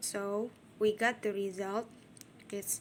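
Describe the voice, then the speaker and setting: A woman with a non-native accent talks at a very slow pace, her fairly high voice held in a monotone, flat intonation. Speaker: university student. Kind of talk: tutorial. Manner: halting.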